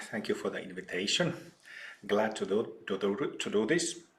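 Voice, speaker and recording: A man speaks with a Finnish accent. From Finland, old mining town. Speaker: spiritual teacher. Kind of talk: interview.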